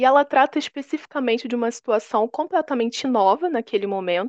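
A woman speaks at a high pitch and moderate pace with lively intonation. The sound is dry and close with no echo, over a quiet background. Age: 20s. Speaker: history teacher. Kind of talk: lecture.

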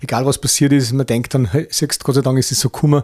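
Speaking very fast in a Bavarian accent, the voice stays flat and monotone. Its tone is dark and mellow, somewhat breathy. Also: man. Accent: Bavarian-like dialect. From Upper Austria, Mühlviertel. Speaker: author and motivational speaker, former club owner. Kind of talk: interview.

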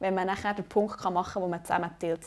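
A woman speaks at medium pitch in a dark, mellow tone. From Switzerland, Bernese Oberland. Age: 20s. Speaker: student podcast host, amateur volleyball player. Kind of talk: casual chat.

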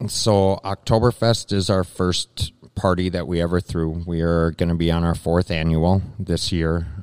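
With an Upper Midwest accent, a man speaks fairly slowly in a very deep, low voice and fairly even intonation, the sound dry and close with no echo and the recording very clean against a silent background. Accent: Upper Midwest (Minnesota). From Minnesota, Lake Minnetonka area. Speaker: brewery owner. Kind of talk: interview. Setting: live at a brewery.

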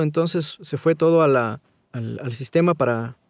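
An unremarkable speaking voice with ordinary pitch variation, heard in a dry, close sound with no echo. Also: man. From Ecuador. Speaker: voice-over artist. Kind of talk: interview conversation.

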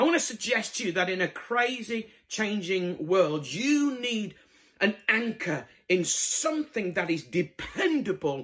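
The speaker has a Yorkshire accent and lively intonation. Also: man. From northern England, Bradford (Yorkshire). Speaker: evangelist preacher. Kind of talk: sermon.

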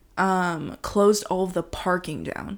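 Speaking very slowly, a woman with a Californian accent and medium pitch comes through on a very clean recording with a silent background. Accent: Californian American. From US, Los Angeles. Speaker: host's partner. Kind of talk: casual chat. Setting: at home on the sofa.

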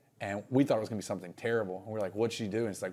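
With a Southern US accent, a man talks with ordinary pitch variation. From North Carolina (Reidsville). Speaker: singer-songwriter. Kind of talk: casual interview.

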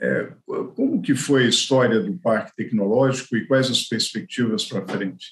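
Lively intonation marks this man's medium-pitched voice. His pace is moderate. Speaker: economist and podcast host. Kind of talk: interview. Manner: halting.

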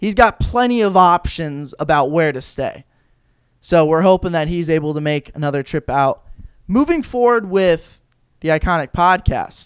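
Loud and high-pitched, a man speaks with lively intonation at a moderate pace. The recording is very clean, with a silent background. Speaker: college sports podcast host. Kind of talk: casual chat.

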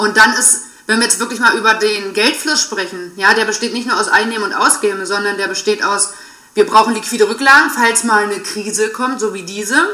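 Noticeable background noise accompanies this woman, who talks at a fairly quick pace with ordinary pitch variation. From Saxony-Anhalt, eastern Germany. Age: 30s. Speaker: financial and money coach. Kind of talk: casual interview.

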